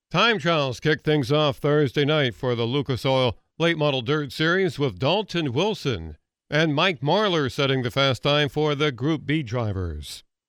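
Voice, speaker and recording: A man with an ordinary speaking voice talks at a fairly high pitch with lively intonation and very even loudness against a quiet background. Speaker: racing results reporter. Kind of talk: news reading.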